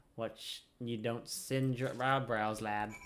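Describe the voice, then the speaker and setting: A man's put-on character voice, rumbling and medium in pitch, with fairly even intonation and a fairly slow pace. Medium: game stream. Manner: blunt, grumbling, folksy.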